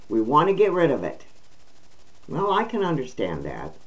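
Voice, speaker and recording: A woman's voice shows vocal fry and very wide pitch swings. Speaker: vlogger reading news. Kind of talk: casual vlog commentary reading news. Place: home room. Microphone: webcam.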